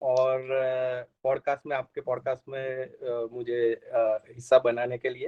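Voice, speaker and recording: A man with a slight Gujarati accent speaks at a medium pitch. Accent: Gujarati-tinged Hindi, slight. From Gujarat, India (Ahmedabad). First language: Gujarati (speaking Hindi). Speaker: software engineer, returned emigrant. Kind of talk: podcast interview. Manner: hesitant, many fillers.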